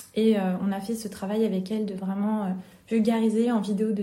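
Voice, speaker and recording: A woman's somewhat breathy, dark, mellow voice, fairly high in pitch, monotone and flat, at a moderate pace with audible room echo. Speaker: entrepreneur. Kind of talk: interview. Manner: talkative.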